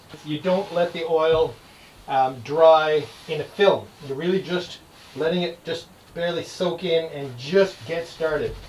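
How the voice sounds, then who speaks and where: A man at a fairly slow pace with fairly even intonation, audible room echo, and light background noise. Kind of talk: casual vlog chat. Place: boat.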